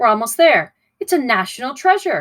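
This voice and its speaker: A put-on character voice, high-pitched, races along at a fairly quick pace with very wide pitch swings. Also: female-sounding voice. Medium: read story. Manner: folksy, hearty.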